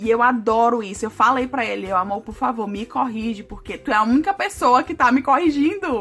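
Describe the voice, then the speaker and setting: The speech is animated, with lively intonation, a fairly quick pace, big swings in loudness and hardly any pauses. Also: woman, high pitch for a woman. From Brazil. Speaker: vlogger. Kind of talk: casual vlog talk to camera.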